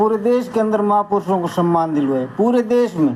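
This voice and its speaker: A man's pitch shifts in an ordinary way as he talks. Noticeable noise can be heard in the background. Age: 60s. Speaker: community activist. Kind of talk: opinion talk to camera. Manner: animated.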